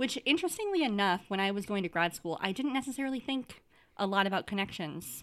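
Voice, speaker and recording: The speech comes at a very fast pace with lively intonation, on a very clean recording with a silent background. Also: woman, medium pitch for a woman. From Wisconsin. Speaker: podcast co-host, themed entertainment designer. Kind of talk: casual chat.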